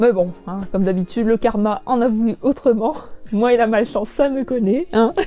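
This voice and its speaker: A woman talks in a fairly high pitch at a moderate pace. Her pitch varies in an ordinary way, with music in the background. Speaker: YouTuber and collector. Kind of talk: live stream chat with viewers. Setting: live stream from home. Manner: loud; hesitant, many fillers.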